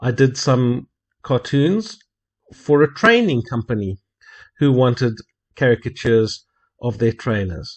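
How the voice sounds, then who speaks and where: A man speaks at a fairly slow pace in a somewhat breathy voice. He leaves long, frequent pauses. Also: medium pitch for a man, ordinary pitch variation. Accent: South African. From South Africa. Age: 50s. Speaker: hobby cartoonist. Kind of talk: narrated video introduction.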